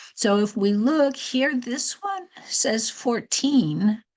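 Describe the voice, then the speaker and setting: A woman's somewhat breathy voice, with ordinary pitch variation, over a quiet background. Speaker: teacher of Chinese calendar. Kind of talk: tutorial.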